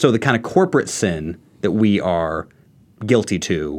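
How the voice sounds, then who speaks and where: A man with an American accent has an unremarkable speaking voice. His pitch is fairly low, with ordinary variation. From Texas, Houston. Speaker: graduate student. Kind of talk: casual discussion.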